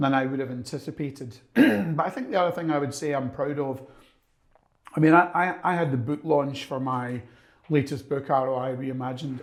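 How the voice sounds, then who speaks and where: Here a man speaks with an English accent at a fairly high pitch. He keeps a fairly quick pace with ordinary pitch variation. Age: 60s. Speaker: business consultant and author. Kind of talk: podcast interview. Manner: energetic.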